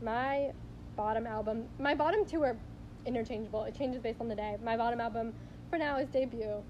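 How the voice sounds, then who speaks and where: Noticeable background noise and audible room echo surround a woman who talks at a fairly quick pace with a fairly high pitch and fairly even intonation. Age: young. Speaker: podcast co-host. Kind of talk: casual chat.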